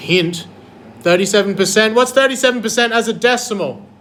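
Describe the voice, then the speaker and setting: A man's intonation is lively, heard through audible room echo and noticeable background noise. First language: not English. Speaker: maths teacher. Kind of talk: classroom lesson. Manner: animated.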